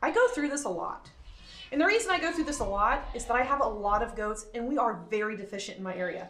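Her pitch swinging very widely, a woman speaks at a fairly quick pace. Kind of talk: casual vlog chat. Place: farm machine. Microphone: phone near.

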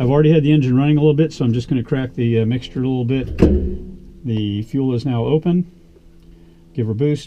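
A man with a medium pitch and a dark, mellow tone talks at a fairly quick pace, broken by long, frequent pauses. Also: ordinary pitch variation.

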